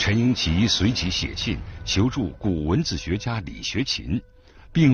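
At a fairly slow pace, a man with a medium pitch speaks in a solemn tone with very wide pitch swings. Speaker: radio documentary narrator. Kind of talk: documentary narration. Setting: radio broadcast. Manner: measured, steady, formal; solemn, storytelling tone building suspense.

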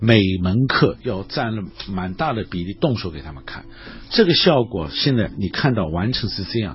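The speaker is a man. He talks at a moderate pace. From Shanghai, China. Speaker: art professor and painter. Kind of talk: radio interview. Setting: radio studio. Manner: halting with many filler sounds.

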